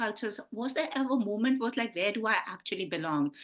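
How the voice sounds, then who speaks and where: At a fairly quick pace, a woman talks in a high voice. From India, Punjab. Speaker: film interviewer. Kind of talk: interview.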